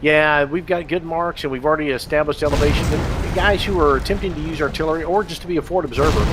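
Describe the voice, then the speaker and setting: A man speaks at a very fast pace. Background noise is noticeable. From Texas. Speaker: game developer. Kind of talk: live stream commentary.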